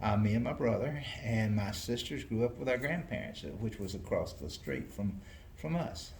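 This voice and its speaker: A man in a Southern US accent speaks at medium pitch with lively intonation. His moderate pace carries audible room echo. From US South, North Carolina. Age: 70s. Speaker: retiring mayor. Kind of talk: interview. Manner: halting.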